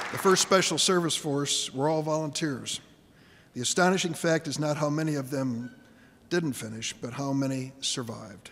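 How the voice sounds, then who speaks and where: A man with an American accent, fairly high pitch and ordinary pitch variation, over noticeable background noise. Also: moderate pace. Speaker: U.S. senator giving a ceremony speech. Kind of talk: formal ceremonial speech honoring veterans.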